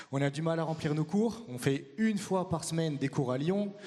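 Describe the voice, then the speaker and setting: A man at a fairly slow pace with ordinary pitch variation, over noticeable background noise. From France. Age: 30s. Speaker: acro-yoga teacher and performer. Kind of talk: conference talk.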